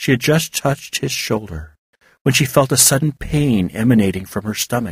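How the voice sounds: The background is quiet. A natural reading voice carries lively intonation.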